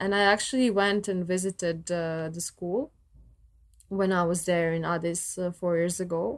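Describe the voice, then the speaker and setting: With a Croatian accent, a woman speaks at a moderate pace in a fairly low pitch with ordinary pitch variation. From Croatia, Zagreb. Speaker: violist. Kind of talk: casual chat.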